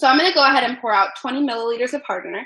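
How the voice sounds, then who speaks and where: A high-pitched woman's voice, bright and sharp in tone, at a very fast pace. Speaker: dice maker and teacher. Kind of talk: tutorial. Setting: livestream from home workshop.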